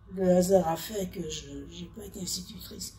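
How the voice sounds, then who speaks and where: Audible room echo and noticeable background noise surround a woman who talks at a very slow pace. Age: 80s+. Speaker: retired telephone operator. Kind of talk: interview, personal recollection. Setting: nursing home workshop. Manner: halting.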